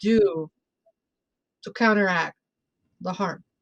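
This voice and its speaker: Lively in intonation, a woman speaks at a moderate pace in a Spanish accent. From Mexico City, Mexico. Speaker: bruja and tarot reader. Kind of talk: casual interview chat.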